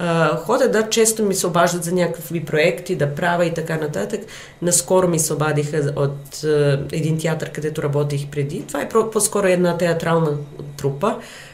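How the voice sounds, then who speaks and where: A woman with a Serbian accent and a fairly low pitch, amid audible room echo and noticeable background noise. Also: ordinary pitch variation, moderate pace. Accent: Serbian accent in Bulgarian, noticeable. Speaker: actress and theatre director. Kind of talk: interview. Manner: hesitant, with fillers.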